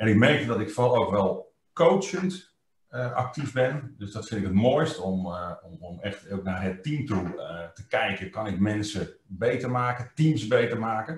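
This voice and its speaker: A man at medium pitch, somewhat breathy and fairly slow, with lively intonation, big swings in loudness, audible room echo and a quiet background. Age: 50s. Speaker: trainer. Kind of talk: interview. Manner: hesitant, many fillers. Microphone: webcam.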